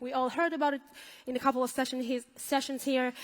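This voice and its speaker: The woman has a non-native accent. Her pitch is high. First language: not English. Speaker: software team leader. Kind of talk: conference talk. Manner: hesitant with fillers.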